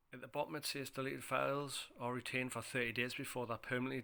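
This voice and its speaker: Speaking at a very fast pace, a man keeps a monotone, flat intonation and a bright, sharp tone. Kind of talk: phone how-to tutorial narration.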